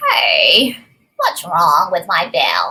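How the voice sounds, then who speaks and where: A woman's put-on character voice at a medium pitch. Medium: read story.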